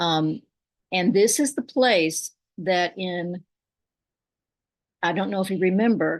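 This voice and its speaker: Over a quiet background, a woman with a Southern US accent speaks very slowly, with ordinary pitch variation and long, frequent pauses. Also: medium pitch for a woman. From Kentucky. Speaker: poet and storyteller. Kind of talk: personal story told at a poetry reading.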